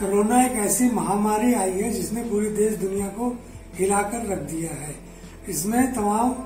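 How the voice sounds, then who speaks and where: A man speaks at a very slow pace with a high pitch and ordinary pitch variation. Audible room echo and faint music sit in the background. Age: old. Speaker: grandfather being interviewed. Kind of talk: interview answer. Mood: calm, reflective. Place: home room. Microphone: camera far.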